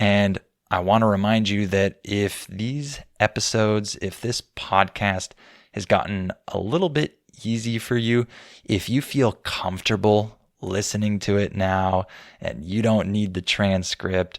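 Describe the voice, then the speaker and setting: A man with an American accent, fairly low-pitched and fairly even in intonation, at a fairly slow pace, in a very clean recording with a silent background and a dry, close sound free of echo. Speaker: English teacher podcast host. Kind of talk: educational podcast monologue.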